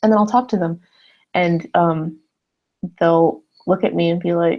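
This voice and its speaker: A woman with an American accent has an ordinary speaking voice, fairly low in pitch, with ordinary pitch variation and a fairly slow pace. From US Southwest, Arizona (Phoenix). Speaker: YouTuber. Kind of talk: casual live stream chat. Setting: live stream. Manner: casual, filler-heavy.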